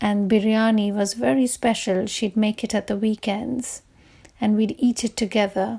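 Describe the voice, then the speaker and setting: With a Bengali accent, the speaker talks at a fairly slow pace in a dark, mellow, somewhat breathy tone. The intonation stays fairly even. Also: woman. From India. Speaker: writer leading a workshop. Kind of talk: workshop talk with poem reading.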